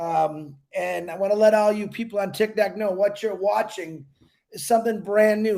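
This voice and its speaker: This man's voice sits high, and its pitch varies in an ordinary way. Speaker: network marketing promoter. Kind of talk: sales pitch. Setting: livestream. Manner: casual.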